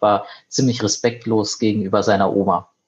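A man with a medium pitch sounds somewhat breathy, his intonation fairly even. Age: 30s. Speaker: head of a child and youth welfare association. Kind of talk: casual interview.

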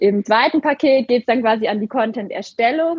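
Her voice is high for a woman and shifts in pitch in an ordinary way. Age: 20s. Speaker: social media coach and co-founder. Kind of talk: interview.

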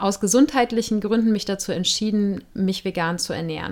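A woman speaks in an unremarkable speaking voice at a fairly high pitch. Her pace is moderate, with ordinary pitch variation. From Germany, Cologne. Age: 40s. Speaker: podcast host. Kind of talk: solo podcast monologue.

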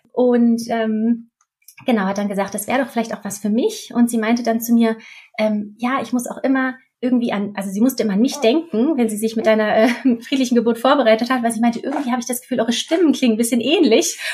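A woman at a very fast pace, fairly high in pitch, with fairly even intonation. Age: 30s. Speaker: midwife. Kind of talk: interview, personal birth story.

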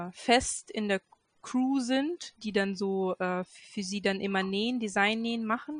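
Her voice is somewhat breathy and very slow. The sound is dry and close, with no echo. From Göttingen, Lower Saxony, Germany. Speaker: hobby sewist, pattern tester. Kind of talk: casual chat. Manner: halting, many fillers.

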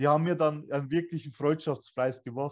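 A man with an unremarkable speaking voice and a fairly high pitch talks at a fairly quick pace. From Bavaria, Germany (Weiden, Upper Palatinate). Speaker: escape room owner. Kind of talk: interview. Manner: casual, colloquial.

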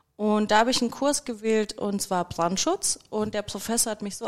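A woman's plain, everyday voice, medium in pitch, at a fairly quick pace with ordinary pitch variation. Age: 30s. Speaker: fire safety engineer. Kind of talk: casual chat.

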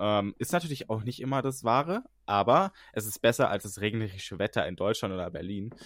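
Here is a man with an ordinary speaking voice and a fairly low pitch. His intonation is lively and his pace moderate. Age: 20s. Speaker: podcast co-host, content creator. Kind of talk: casual chat.

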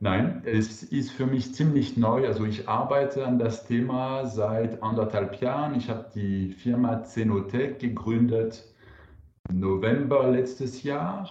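Amid audible room echo, a man with a French accent talks very slowly at a medium pitch, with ordinary pitch variation. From France. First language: French (speaking German). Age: 40s. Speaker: wine entrepreneur. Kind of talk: interview. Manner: hesitant, with fillers.

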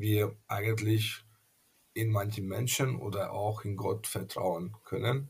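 In a Hungarian accent, a man speaks very slowly with fairly even intonation, a medium pitch and a somewhat breathy quality. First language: Hungarian (speaking German). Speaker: pastor. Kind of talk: interview. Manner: halting, many fillers.

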